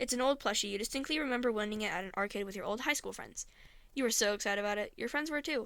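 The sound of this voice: Reading done in an unforced reading voice.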